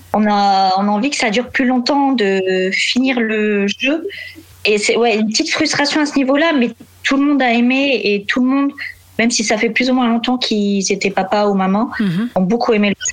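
A woman with a fairly high pitch speaks at a very even loudness and with ordinary pitch variation over noticeable background noise. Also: moderate pace. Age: 20s. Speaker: warehouse logistics worker. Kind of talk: casual interview.

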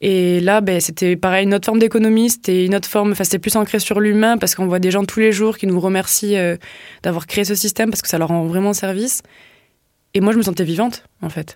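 Medium-pitched speech from a woman, very fast and fairly even in intonation. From southwest France, Tarn. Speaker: social enterprise co-founder. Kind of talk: casual interview. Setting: studio.

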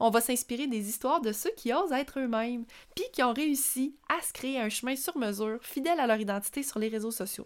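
In a very clean recording with a silent background, a woman with a Quebec accent speaks at a fairly quick pace in a high pitch with ordinary pitch variation. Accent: Québécois French. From rural Quebec, Centre-du-Québec. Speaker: podcast host, personal branding entrepreneur. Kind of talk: solo podcast monologue.

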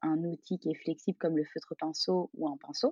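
A woman talks at a fairly quick pace. Hers is an unremarkable speaking voice with ordinary pitch variation. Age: 30s. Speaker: calligrapher, former primary school teacher. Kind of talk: interview conversation.

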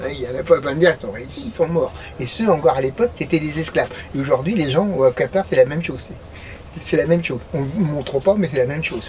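A man at a fairly high pitch, very fast pace and ordinary pitch variation, over noticeable background noise. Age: 60s. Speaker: passerby interviewee, former carpenter. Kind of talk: casual chat. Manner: talkative and at ease.

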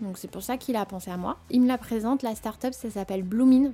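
A woman speaks with a dark, mellow tone and a fairly high pitch. Her voice is somewhat breathy, with fairly even intonation. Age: 30s. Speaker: audit firm manager. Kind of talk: personal testimony. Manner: casual, hesitant with fillers.

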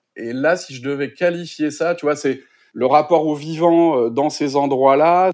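Fairly slow pace from a man of fairly high pitch, ordinary pitch variation, on a very clean recording with a silent background. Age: 40s. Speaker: sustainability coach. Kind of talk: interview conversation. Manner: halting, many repetitions and fillers.

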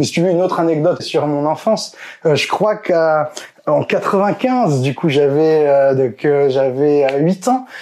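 A man speaks at a very slow pace with a fairly high pitch. His intonation is lively while his loudness stays very even. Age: 30s. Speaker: political YouTuber. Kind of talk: casual interview.

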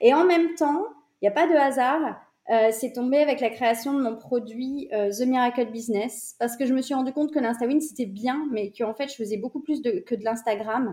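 A woman's high-pitched voice with a dark, mellow tone at a moderate pace. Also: ordinary pitch variation. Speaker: business coach. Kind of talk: interview.

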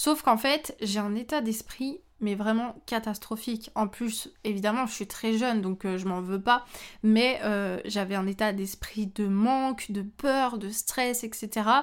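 The very clean recording, with its silent background, captures speech at a very slow pace. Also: woman, fairly high pitch for a woman, ordinary pitch variation. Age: 20s. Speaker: photographer and trainer. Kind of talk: solo podcast monologue. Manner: casual.

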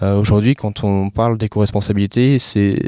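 A man speaks at a moderate pace in a fairly low pitch with monotone, flat intonation. The sound is dry and close, with no echo. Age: 20s. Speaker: entrepreneur. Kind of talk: interview. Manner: halting.

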